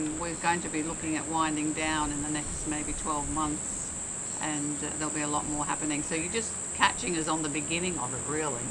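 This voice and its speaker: Over noticeable background noise and audible room echo, a woman with a very deep, low pitch speaks at a fairly quick pace in a monotone, flat intonation. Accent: Australian. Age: 70s. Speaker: motorcycle owner, mental health vlogger. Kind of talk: casual interview.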